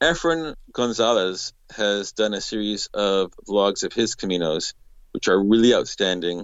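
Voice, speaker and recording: A man with medium pitch and an unremarkable speaking voice, at a fairly slow pace. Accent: Canadian. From Canada. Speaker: pilgrim. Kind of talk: casual interview.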